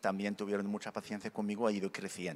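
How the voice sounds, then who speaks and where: This man talks at a fairly low pitch. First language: Berber / Arabic (speaking Spanish). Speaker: conference speaker, convert from Islam. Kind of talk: conference talk / testimony. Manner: halting, with self-corrections and fillers.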